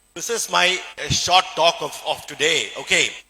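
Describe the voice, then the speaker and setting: Bright and sharp in tone, a man with a Keralan accent speaks with ordinary pitch variation. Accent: Indian English (Malayali). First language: Malayalam. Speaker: surgeon and motivational speaker. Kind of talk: presentation to an audience. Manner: halting, with many fillers.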